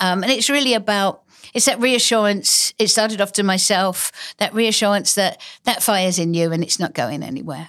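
In a very clean recording with a silent background, a woman is talking. She keeps a moderate pace and a medium pitch with ordinary pitch variation. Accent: English. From Essex, England. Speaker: author and illustrator. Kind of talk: casual interview chat. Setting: studio.

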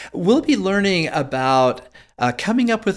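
At a fairly slow pace, an unremarkable speaking voice carries ordinary pitch variation. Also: man. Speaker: health expert guest. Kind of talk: casual interview.

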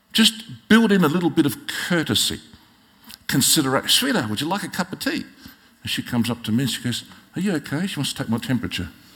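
A man with an Australian accent at a very fast pace, with a fairly high pitch, very wide pitch swings and a bright, sharp tone. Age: 60s. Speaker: pastor. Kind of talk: sermon. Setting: church.

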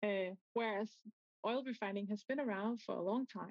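In a medium pitch with a slightly mellow tone, the woman speaks at a moderate pace with ordinary pitch variation. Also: dry, close sound with no echo.

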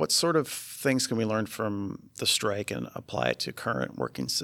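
Vocal fry on a very clean recording with a silent background. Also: man. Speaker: guest interviewer. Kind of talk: casual interview.

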